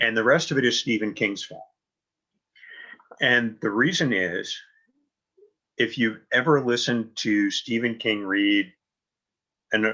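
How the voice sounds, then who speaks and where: This man's tone is bright and sharp. He talks at a fairly slow pace. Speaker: novelist and audiobook narrator. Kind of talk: interview.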